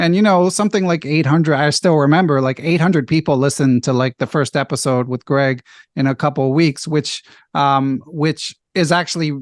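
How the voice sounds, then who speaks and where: In a dry, close sound with no echo and a quiet background, a man with an American accent uses a normal speaking voice at a moderate pace, with a fairly high pitch and ordinary pitch variation. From US Northeast (Philadelphia). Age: 40s. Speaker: chess podcast host and national master. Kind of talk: casual interview chat. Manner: frequent fillers and self-corrections.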